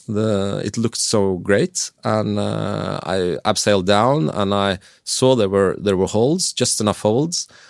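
A man with a Norwegian accent, fairly low in pitch with ordinary variation, at a fairly slow pace with hardly any pauses, in a dry, close sound with no echo on a very clean recording with a silent background. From Norway. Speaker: professional climber and mountain guide. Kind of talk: interview. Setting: studio.

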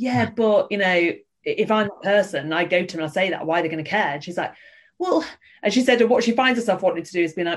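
Lively intonation runs through this woman's very fast delivery. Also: medium pitch for a woman. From Yorkshire. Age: 30s. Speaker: theatre artistic director. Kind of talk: casual interview chat.

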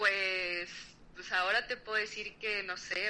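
Someone with a Mexican accent talks at a fairly slow pace. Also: woman. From Mexico. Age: 30s. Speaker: podcast guest. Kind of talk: casual chat.

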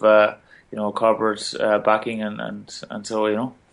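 A man speaks with an Irish accent. His pitch is medium. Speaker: Olympic boxer and teacher. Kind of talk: interview. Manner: halting.

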